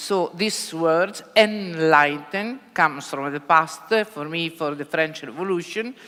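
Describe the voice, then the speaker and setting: Speaking at a fairly slow pace with an Italian accent, a woman uses a fairly low pitch and ordinary pitch variation. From Italy. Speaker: bookseller. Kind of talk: panel discussion. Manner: halting.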